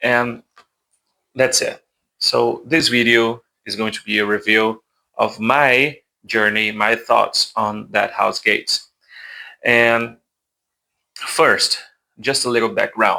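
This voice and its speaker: In a very clean recording with a silent background, someone speaks with a Portuguese accent. The pace is very slow, with long, frequent pauses. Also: man. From Brazil. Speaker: book YouTuber. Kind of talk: casual book review monologue. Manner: hesitant, with self-corrections and repetitions.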